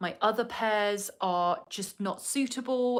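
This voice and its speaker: A woman with a southern English accent. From southern England. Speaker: vlogger. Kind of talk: casual chat. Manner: chatty, with many fillers.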